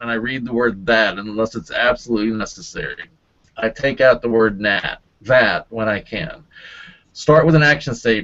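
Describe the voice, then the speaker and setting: A man talks with ordinary pitch variation. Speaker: LinkedIn marketing presenter. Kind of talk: webinar presentation. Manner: slow; hesitant, many fillers.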